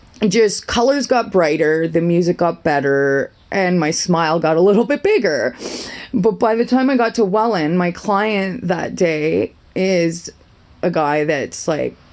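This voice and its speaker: Over noticeable background noise, a woman speaks at a fairly slow pace in a fairly low voice with lively intonation and very even loudness. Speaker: vlogger sharing personal story. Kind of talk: casual monologue vlog. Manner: rambling, self-interrupting.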